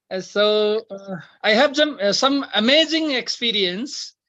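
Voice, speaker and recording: Speaking with a Nepali accent, a woman uses a fairly high pitch with ordinary pitch variation. Her pace is very slow. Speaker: devotee sharing experience. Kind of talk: testimony. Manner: halting.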